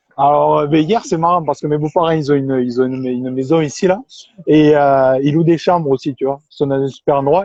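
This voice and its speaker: At a fairly quick pace, a man with a southern French accent talks with a fairly high pitch and fairly even intonation. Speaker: interviewer. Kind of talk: interview.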